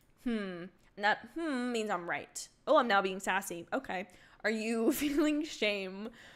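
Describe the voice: The intonation is lively. It is plain reading aloud.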